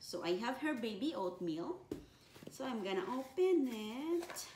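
Noticeable background noise behind a woman speaking at a very slow pace. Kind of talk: casual vlog tutorial. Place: kitchen. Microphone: camera far.

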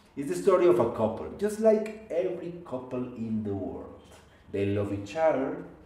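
Audible room echo surrounds a man's voice. He speaks at a moderate pace with very wide pitch swings. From Colombia. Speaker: oral storyteller. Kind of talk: live oral storytelling performance. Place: home room.

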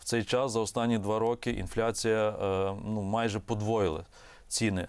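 The delivery is monotone and flat, at a moderate pace with very even loudness. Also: man, very clean recording, silent background. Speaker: economist. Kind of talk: TV interview. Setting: studio.

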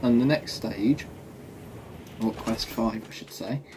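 A man speaks slowly in a dark, mellow tone with lively intonation.

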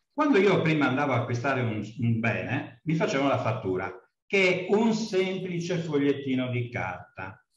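Against a quiet background with audible room echo, a man speaks at a fairly high pitch with very wide pitch swings. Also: moderate pace. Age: old. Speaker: course participant; speaker. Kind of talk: class discussion. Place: office. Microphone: video call.

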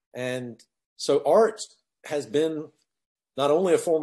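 Against a quiet background, a man speaks with a dark, mellow tone. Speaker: podcast guest. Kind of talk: interview answer. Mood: thoughtful, calm. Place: office. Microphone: video call.

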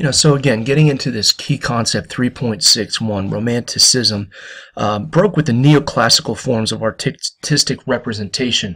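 This man's voice sits at a medium pitch with ordinary pitch variation, a bright, sharp tone and a moderate pace, on a very clean recording with a silent background. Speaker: history teacher. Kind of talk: lecture. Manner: quiet, soft-spoken; hesitant, many fillers.

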